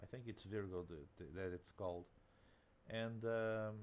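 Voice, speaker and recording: With a Portuguese accent, a man talks at a fairly low pitch that varies in an ordinary way. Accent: Portuguese accent, non-native English. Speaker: gaming video creator. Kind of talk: casual game commentary. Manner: halting, many fillers.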